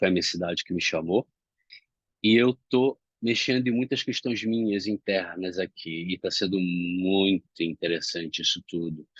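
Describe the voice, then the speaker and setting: With a dry, close sound and no echo, a man talks at a moderate pace in a very deep, low voice with ordinary pitch variation. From Brazil, Rio de Janeiro. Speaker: self-development speaker. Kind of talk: reflective monologue. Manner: not loud, calm.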